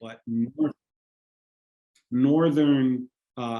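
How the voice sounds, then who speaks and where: Pitch varies in an ordinary way in this dark, mellow-toned voice. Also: man. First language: Spanish. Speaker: panelist. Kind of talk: panel discussion. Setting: video call.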